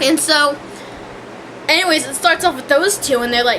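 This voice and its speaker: Over noticeable background noise, a woman uses a raised, projected voice with a high pitch and ordinary pitch variation. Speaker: vlogger reviewing a TV show. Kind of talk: casual rant. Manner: hesitant, many fillers and restarts.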